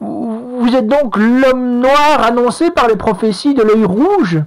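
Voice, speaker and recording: A man puts on a character voice pitched extremely high, talking fairly slowly. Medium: read story. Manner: stammering, obsequious.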